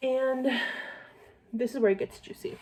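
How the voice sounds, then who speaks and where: A woman's dark, mellow, somewhat breathy voice. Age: 20s. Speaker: vlogger, young mother. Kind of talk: casual get-ready-with-me vlog chat. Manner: fast; chatty, filler-heavy.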